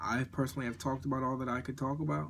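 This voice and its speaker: This man's voice sits at a medium pitch. His pitch variation is ordinary. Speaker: morning show host. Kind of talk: live audio show monologue. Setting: at home, live audio app. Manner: halting, self-correcting.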